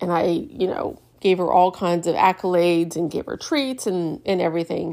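Pitched fairly low with ordinary variation, a woman talks at a moderate pace in a very clean recording with a silent background. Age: 50s. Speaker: podcast host and retreat organizer. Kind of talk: casual solo monologue.

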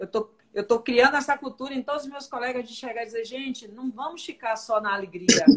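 Moderately paced, a woman speaks at a fairly high pitch with ordinary pitch variation. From Salvador, Bahia, Brazil. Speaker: live show host. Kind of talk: interview. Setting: livestream. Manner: animated.

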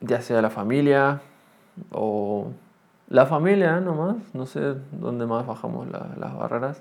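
A medium-pitched man at a very slow pace, lively in intonation, with big swings in loudness. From Argentina. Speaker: podcaster. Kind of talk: solo monologue podcast. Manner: halting, many fillers; tends to speak loudly.

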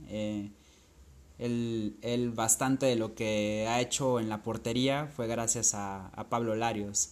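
A man's medium-pitched voice at a very slow pace. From Acapulco, Guerrero, Mexico. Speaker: football podcaster. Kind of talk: monologue recounting football statistics. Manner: hesitant, with fillers.

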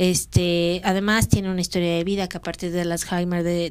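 In a very clean recording with a silent background, a woman with a plain, everyday voice talks at a moderate pace and a medium pitch. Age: 40s. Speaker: podcast co-host. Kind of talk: casual chat.

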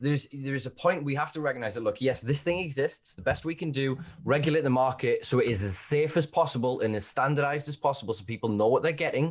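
A man talks at a very fast pace with hardly any pauses. His voice is fairly high and somewhat breathy, with ordinary pitch variation. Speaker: podcast host. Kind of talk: casual chat. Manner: animated.

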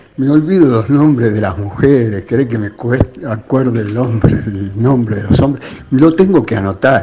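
A man with a medium pitch talks at a fairly slow pace with hardly any pauses and lively intonation. Noticeable background noise can be heard. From Buenos Aires suburbs, Argentina. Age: 80s+. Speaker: radio listener. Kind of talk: casual chat. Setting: phone call.

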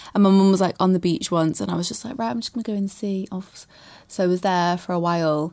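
A woman with a Mancunian accent, very fast, with a dark, mellow tone, ordinary pitch variation and big swings in loudness. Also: medium pitch for a woman. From Manchester, England. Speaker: singer. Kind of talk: casual chat. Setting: outdoors on holiday in Croatia.

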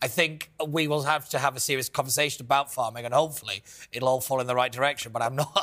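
A man speaks with a northern English accent at a very fast pace. His pitch is medium and his intonation fairly even. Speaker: panelist. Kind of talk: comedy quiz banter.

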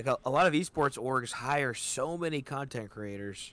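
This is a man speaking. His intonation is lively. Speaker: podcast host. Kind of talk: casual chat.

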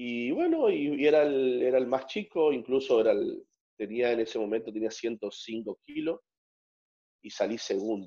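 With a dark, mellow tone, a man speaks at a fairly slow pace using ordinary pitch variation. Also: medium pitch for a man. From northern Argentina, Santiago del Estero. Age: 30s. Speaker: strongman athlete. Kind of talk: interview.

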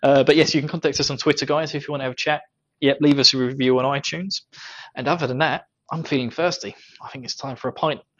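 A man talks very quickly at a fairly high pitch. His intonation stays fairly even while his volume rises and falls sharply. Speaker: podcast host. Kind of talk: casual chat. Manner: joking, laughs often.

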